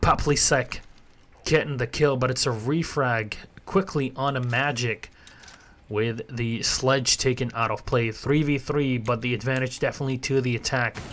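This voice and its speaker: A man talks at medium pitch and a moderate pace. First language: Arabic. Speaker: esports caster. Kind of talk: live commentary. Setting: live stream. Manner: animated.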